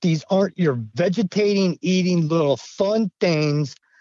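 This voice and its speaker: A man with an American accent speaks at a very slow pace. His high voice has lively intonation. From Idaho. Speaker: retired navy veteran, witness. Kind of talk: interview storytelling.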